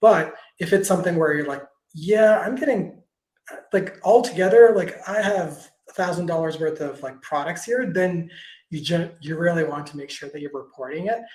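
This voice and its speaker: Speaking at a fairly quick pace, a man has a high pitch and ordinary pitch variation. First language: not English. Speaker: tax expert answering creator questions. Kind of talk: Q&A webinar answer. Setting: video call webinar. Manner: halting, stumbles over words.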